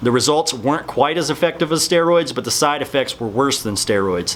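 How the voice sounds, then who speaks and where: A man with a fairly high pitch mumbles over noticeable background noise. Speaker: fitness supplement youtuber. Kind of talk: casual talking-head explainer video. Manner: mumbling.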